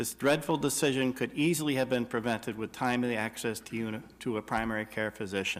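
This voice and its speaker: Very fast talk from a man, medium in pitch, his pitch varying in an ordinary way. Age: 60s. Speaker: health care activist. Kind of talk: public testimony. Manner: formal.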